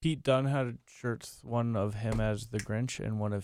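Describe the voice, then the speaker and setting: A man's dark, mellow tone at a very slow pace, on a very clean recording with a silent background. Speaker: friend sitting in, reads wrestling show recaps. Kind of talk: casual chat, reading recap notes.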